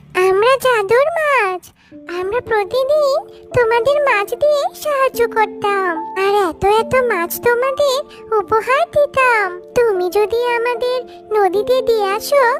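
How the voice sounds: An extremely high-pitched, cartoonish character voice. Loud music plays in the background. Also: fairly slow pace.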